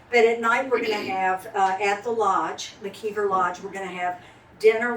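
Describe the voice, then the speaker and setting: Noticeable background noise sits behind a woman speaking at a medium pitch. She keeps a moderate pace with monotone, flat intonation. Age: 60s. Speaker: county party organizer. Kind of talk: speech at club meeting. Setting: restaurant meeting room with audience.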